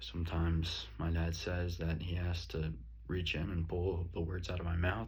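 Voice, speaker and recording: A man's very deep, low voice with ordinary pitch variation, very even loudness and a moderate pace, plus audible room echo. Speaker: student. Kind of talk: self-reflection monologue.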